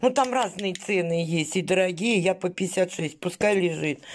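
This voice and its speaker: Speaking very slowly, a woman uses a medium pitch and ordinary pitch variation over light background noise. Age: 50s. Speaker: vlogger. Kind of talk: casual vlog haul. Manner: chatty, colloquial. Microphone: phone near.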